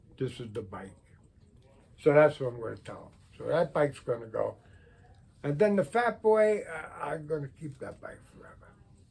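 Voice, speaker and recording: This voice moves at a moderate pace with very wide pitch swings, big shifts in loudness, and long, frequent pauses. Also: man, fairly high pitch for a man. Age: 80s+. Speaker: retired car enthusiast video blogger. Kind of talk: casual monologue vlog. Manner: rambling conversational.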